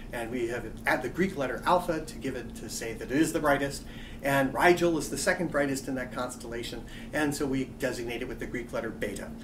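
A man speaks at a very fast pace with lively intonation. Noticeable background noise runs underneath. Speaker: astronomy lecturer. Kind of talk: college lecture narration. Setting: quiet room. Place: office.

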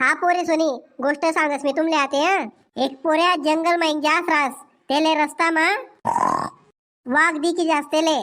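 A cartoonish character voice from a woman, extremely high in pitch, with fairly even intonation at a fairly slow pace. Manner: bossy.

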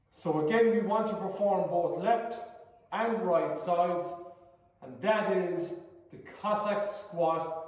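A man's high-pitched voice at a very slow pace, with ordinary pitch variation, big swings in loudness and strong room echo. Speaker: fitness instructor. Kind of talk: tutorial. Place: gym. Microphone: camera far.

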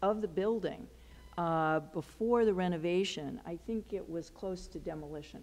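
At a moderate pace, a woman speaks with a fairly low pitch, ordinary pitch variation and a dark, mellow tone. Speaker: historical society host. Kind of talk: meeting introduction remarks. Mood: somber memorial tone later. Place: hall. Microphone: headset.

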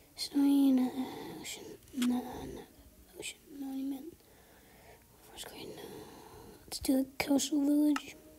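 Long, frequent pauses break up speech at a very slow pace. Noticeable background noise lies beneath it. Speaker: gaming YouTuber. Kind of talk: gameplay commentary. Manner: casual, hesitant with many fillers.

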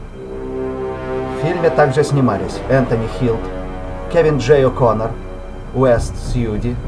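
Music plays in the background as a man talks at a very slow pace with long, frequent pauses. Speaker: amateur voice-over artist. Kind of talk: movie dub opening narration and credits read.

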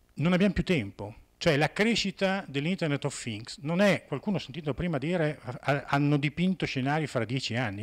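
The voice shows very wide pitch swings at a moderate pace. The background is quiet. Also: man. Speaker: conference speaker. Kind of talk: conference talk. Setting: conference hall with audience. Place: hall. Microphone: handheld.

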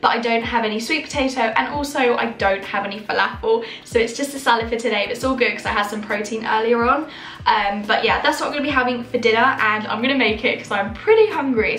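Over faint background music and audible room echo, a woman talks at a very fast pace with ordinary pitch variation. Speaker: vlogger. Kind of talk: casual vlog chat. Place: kitchen. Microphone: phone near.

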